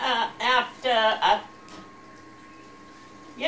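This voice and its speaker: Against noticeable background noise, a woman with an American accent speaks at a very slow pace in a high voice. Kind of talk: interview answer.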